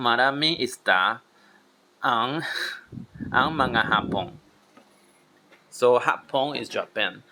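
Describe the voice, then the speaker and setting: Very slow and full of long, frequent pauses, the man's speech sits at a medium pitch. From Taiwan. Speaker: language learner vlogger. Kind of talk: language practice tutorial. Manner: halting, repeating words.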